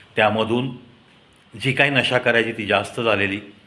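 A man speaks at a moderate pace with a bright, sharp tone and medium pitch. Audible echo fills the room around him.

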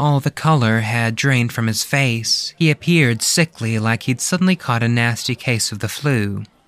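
The speaker reads aloud in a natural voice, with ordinary pitch variation.

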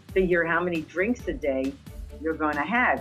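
A woman with a very deep, low voice speaks at a moderate pace with lively intonation. Faint music plays in the background. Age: 80s+. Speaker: retired frequent cruise passenger. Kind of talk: interview answer. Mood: cheerful, enthusiastic. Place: home room. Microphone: webcam.

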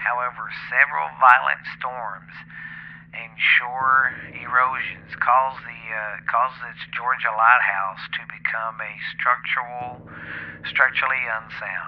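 A man with a Southern US accent speaks at a medium pitch with big swings in loudness over noticeable background noise. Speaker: podcast host. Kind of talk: reading aloud. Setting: home. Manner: halting.

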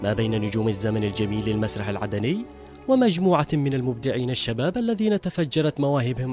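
Over music in the background, a man speaks at a medium pitch with lively intonation. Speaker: TV news reporter. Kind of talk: TV news report narration.

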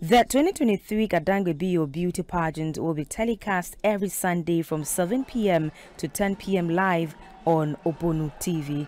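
Over music in the background, a woman with a fairly low pitch speaks at a fairly slow pace with ordinary pitch variation. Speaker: TV news reporter. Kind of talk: news reading, scripted TV report voiceover. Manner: formal.

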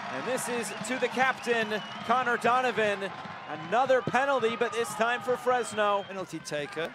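Raised and projected, a man's extremely high voice carries ordinary pitch variation over noticeable background noise. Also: moderate pace. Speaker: football commentator. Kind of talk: live play-by-play football commentary over match highlights. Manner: excitable, rising to shouts on goals.

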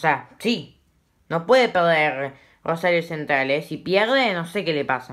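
Over a silent background in a very clean recording, a woman speaks fairly slowly at a fairly low pitch with lively intonation. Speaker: football YouTuber. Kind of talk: casual commentary vlog. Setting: at home at night. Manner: speaking quietly; informal, self-correcting.

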